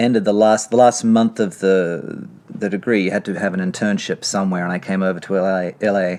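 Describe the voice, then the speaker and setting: A man speaks at a moderate pace with a slight Australian accent. His pitch is fairly low and his intonation fairly even. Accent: slight Australian lilt. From Australia, Sydney. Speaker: screenwriter. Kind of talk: interview. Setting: library.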